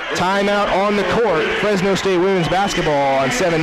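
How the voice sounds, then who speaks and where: A man talks with lively intonation at a moderate speed while noticeable background noise carries on. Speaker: sports play-by-play announcer. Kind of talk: live radio sports play-by-play.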